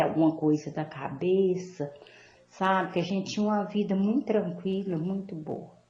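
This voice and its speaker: Speaking at a moderate pace, a woman has a medium pitch, a dark, mellow tone, ordinary pitch variation and a somewhat breathy quality. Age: 60s. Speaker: caller. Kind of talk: call-in question. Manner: halting.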